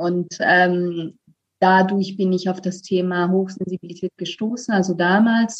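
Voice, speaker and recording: With an Italian accent, a woman speaks at a very slow pace and medium pitch, her voice somewhat breathy. Her intonation is fairly even, and the sound is dry and close with no echo. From Italy. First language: Italian (speaking German). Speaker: voice coach. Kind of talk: interview. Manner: hesitant, many fillers.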